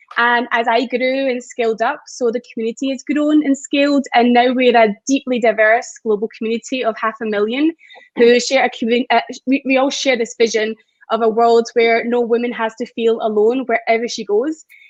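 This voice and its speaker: A woman in a Scottish accent speaks at a moderate pace and a high pitch, her intonation fairly even and the sound dry and close with no echo. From Scotland. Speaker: community founder. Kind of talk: panel discussion.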